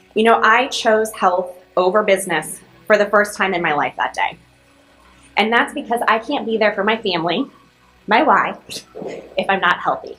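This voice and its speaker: A woman speaks at a moderate pace with ordinary pitch variation and long, frequent pauses, over noticeable background noise. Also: medium pitch for a woman. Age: 30s. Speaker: commencement speaker. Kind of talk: commencement speech.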